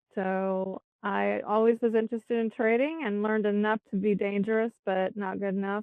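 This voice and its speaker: The woman speaks with an American accent in a plain, everyday voice. Her pitch is medium, with fairly even intonation. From Texas. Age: 60s. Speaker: educator and trading student. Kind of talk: testimonial interview.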